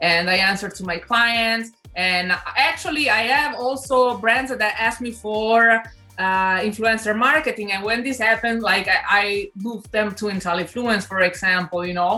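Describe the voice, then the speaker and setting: Music plays in the background as a woman with an Italian accent speaks at a moderate pace. Her voice sits at a fairly high pitch with ordinary pitch variation. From Italy (Milan). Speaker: influencer, sports announcer, DJ. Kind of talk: interview answer.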